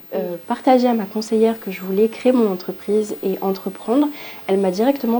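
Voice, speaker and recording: Noticeable background noise runs under a woman's fairly high voice. She speaks at a moderate pace with ordinary pitch variation. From southern France (Montpellier), from Île-de-France. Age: 20s. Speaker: aspiring entrepreneur. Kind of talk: testimony. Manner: hesitant, many fillers.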